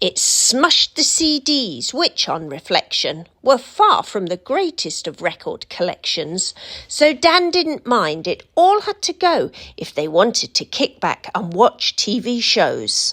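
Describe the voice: Speaking at a slow pace with few pauses, a woman uses a medium pitch, big pitch swings and a fairly bright tone.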